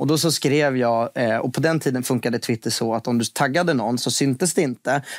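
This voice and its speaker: The voice moves at a fairly quick pace with ordinary pitch variation. The sound is dry with no echo over a quiet background. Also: man. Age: 20s. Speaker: finance TV presenter and investor; podcast guest. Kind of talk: casual interview. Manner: hesitant, many repetitions. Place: studio.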